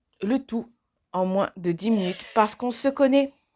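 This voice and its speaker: A woman speaks with very wide swings in pitch. The recording is very clean, with a silent background. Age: 30s. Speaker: beauty vlogger. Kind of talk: tutorial. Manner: casual, chatty.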